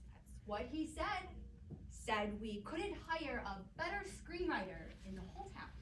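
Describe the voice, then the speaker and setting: A woman drawls at a fairly slow pace in a put-on character voice. There is a slight echo and clear background noise. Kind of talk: stage play acting. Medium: stage play. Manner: drawling, rough folksy grammar.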